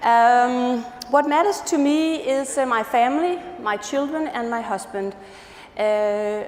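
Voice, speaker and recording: With a Danish accent, the speaker shows ordinary pitch variation amid noticeable background noise and audible room echo. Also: woman. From Denmark. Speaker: patient safety advisor. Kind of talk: conference talk. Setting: stage with audience.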